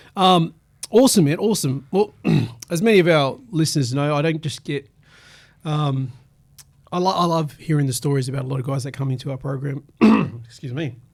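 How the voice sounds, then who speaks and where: A fairly high-pitched man with an Australian accent, fairly quick, with ordinary pitch variation and long, frequent pauses. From Sydney, Australia (western suburbs). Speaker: community radio host. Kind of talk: radio interview. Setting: radio studio.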